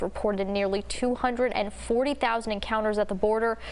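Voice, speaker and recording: In an American accent, a woman speaks at a very fast pace. Her voice is fairly high, with fairly even intonation. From Texas, USA. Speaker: TV news reporter and anchor. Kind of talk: TV news anchor delivery. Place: studio. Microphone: lapel.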